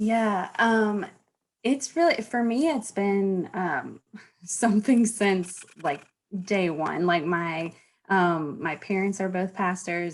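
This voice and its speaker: A woman with a Southern US accent, medium pitch, ordinary pitch variation and a fairly slow pace. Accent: Southern drawl. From US South, North Carolina (Charlotte). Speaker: former pastor. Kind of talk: podcast interview.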